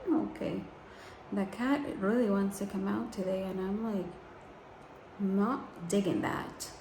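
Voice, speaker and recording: Soft-spoken and at a fairly slow pace, the speaker uses ordinary pitch variation and long, frequent pauses, with audible room echo and noticeable background noise. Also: woman, medium pitch for a woman. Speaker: beauty vlogger. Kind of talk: tutorial. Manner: casual.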